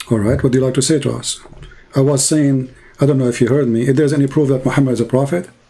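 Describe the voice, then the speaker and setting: Talking very fast, a man with an Arabic accent keeps a medium pitch and fairly even intonation. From Middle East. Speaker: religious debater. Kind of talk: online call-in debate. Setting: online voice chat.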